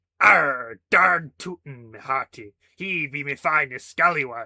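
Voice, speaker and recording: A put-on character voice at a fairly slow pace. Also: man, fairly high pitch for a man. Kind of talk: mock pirate slang. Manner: playful, light-hearted.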